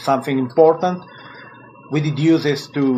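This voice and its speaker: A man with a non-native accent, amid noticeable background noise. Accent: non-native English, self-taught. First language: Italian. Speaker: musician. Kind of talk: interview. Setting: phone call. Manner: halting.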